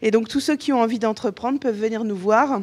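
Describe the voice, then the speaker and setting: Talking at a fairly quick pace, a woman keeps her fairly high voice fairly even in intonation. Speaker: lawyer and startup incubator adviser. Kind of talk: conference talk. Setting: conference room with audience. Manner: hesitant, many fillers.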